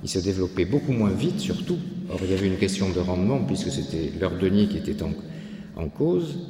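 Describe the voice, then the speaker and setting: A man with a very deep, low voice speaks at a fairly quick pace with lively intonation, and some room echo can be heard. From France, Landes. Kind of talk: lecture. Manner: halting.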